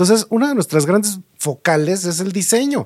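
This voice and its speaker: A man with a Mexico City accent, lively intonation and a moderate pace. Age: 50s. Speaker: market research and trend analyst, designer. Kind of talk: interview conversation.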